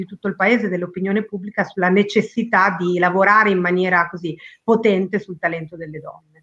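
This is a woman with a normal speaking voice. She talks at a medium pitch with ordinary pitch variation. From Argentina. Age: 40s. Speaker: company president, women's career trainer. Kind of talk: interview.

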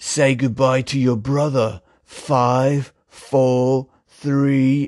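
In a put-on character voice with an English accent, the speaker drawls very slowly with a menacing tone and flat, monotone intonation. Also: man, medium pitch for a man. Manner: menacing, countdown threat.

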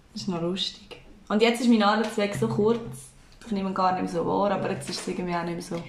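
A woman at a medium pitch, very fast and lively in intonation, with audible room echo and noticeable background noise. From Switzerland, Aargau (Endingen). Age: 20s. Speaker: podcast co-host, daycare worker. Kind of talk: casual chat.

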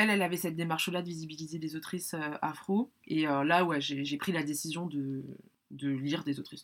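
Her voice very deep and low, a woman speaks at a fairly quick pace with ordinary pitch variation. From France. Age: 30s. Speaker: book lover. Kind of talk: casual chat. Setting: in person. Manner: halting.

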